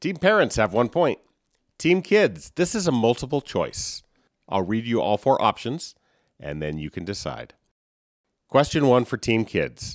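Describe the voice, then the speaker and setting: A man with a medium pitch and vocal fry talks at a fairly slow pace, with very wide pitch swings and long, frequent pauses. The sound is dry and close with no echo, on a very clean recording with a silent background. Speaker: trivia podcast host and parent. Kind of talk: quiz show hosting.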